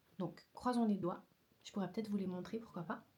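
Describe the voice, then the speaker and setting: A woman speaks at a medium pitch in a somewhat breathy voice with ordinary pitch variation. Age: 20s. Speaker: vlogger and photographer. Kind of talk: casual vlog. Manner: hesitant, many fillers.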